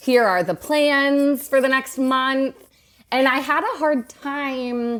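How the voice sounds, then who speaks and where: A woman speaks loudly in a high pitch. Her pace is very slow. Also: ordinary pitch variation. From US South, Atlanta, Georgia. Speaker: realtor, podcast guest. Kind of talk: casual chat.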